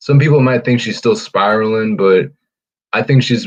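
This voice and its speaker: A man is speaking. Music plays in the background. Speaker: podcast host. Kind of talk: casual chat.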